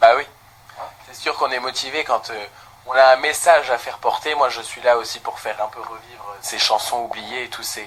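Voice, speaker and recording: Fairly even intonation at a moderate pace, big swings in loudness, and noticeable background noise. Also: man, medium pitch for a man. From Lorraine, France (Thionville). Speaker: singer. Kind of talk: interview.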